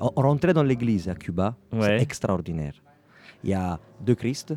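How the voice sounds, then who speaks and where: Speaking at medium pitch in an Italian accent, a man talks at a fairly slow pace. His intonation is lively, with music in the background. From Ragusa, Sicily. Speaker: percussionist and music school founder, interview guest. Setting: radio interview at a jazz club.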